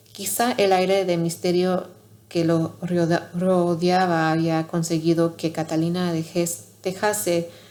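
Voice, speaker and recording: A soft-spoken woman talks at a very slow pace. Her pitch is fairly low. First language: not Spanish (learner) (speaking Spanish). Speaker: ASMR channel host reading aloud. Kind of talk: reading aloud. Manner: soft-spoken, quiet; halting, self-correcting.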